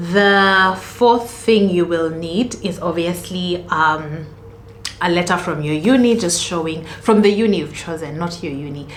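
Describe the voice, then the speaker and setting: Against noticeable background noise and audible room echo, a woman talks at a fairly slow pace with a fairly low pitch and ordinary pitch variation. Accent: Kenyan. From Kenya. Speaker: student vlogger. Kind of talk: casual tutorial vlog.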